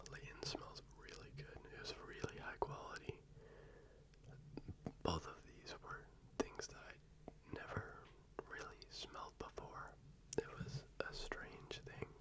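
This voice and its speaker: Whispering comes at a very slow pace. Long, frequent pauses break it up. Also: man. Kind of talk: ASMR fragrance talk, casual to camera. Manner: whispered, soft-spoken.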